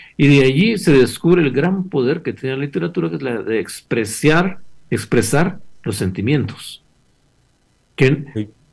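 A man's fairly high voice with vocal fry, very wide pitch swings, and a fairly slow pace. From Guatemala, Chimaltenango. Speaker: novelist. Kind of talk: interview.

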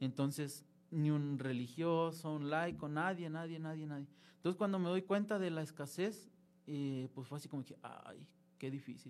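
Speaking at a moderate pace with a fairly high pitch, the man has a plain, everyday voice and ordinary pitch variation. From Mexico, Durango. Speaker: seminarian, former lay missionary. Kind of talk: interview testimony. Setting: studio, live broadcast.

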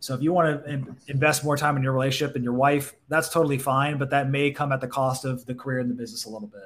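Very fast, somewhat breathy speech in an American accent, with fairly even intonation and hardly any pauses. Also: man, fairly high pitch for a man. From Southern California, Orange County. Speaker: physical therapist turned marketer. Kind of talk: casual interview.

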